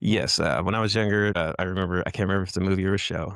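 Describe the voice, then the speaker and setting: Talking at a very fast pace, the man has a very deep, low voice. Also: very clean recording, silent background. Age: 40s. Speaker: author. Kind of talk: casual chat. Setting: podcast. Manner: low talker.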